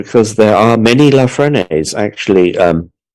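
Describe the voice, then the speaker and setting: Speaking fairly slowly with an English accent, a man uses a fairly low pitch and lively intonation on a very clean recording with a silent background. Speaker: artist and speaker. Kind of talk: conference talk. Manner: halting.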